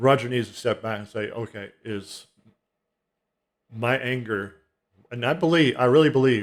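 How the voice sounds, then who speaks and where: Speaking at a moderate pace and medium pitch, a man uses ordinary pitch variation, makes long, frequent pauses, and his loudness swings widely. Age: 60s. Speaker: music commentary vlogger. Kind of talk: casual monologue. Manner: halting, with many restarts.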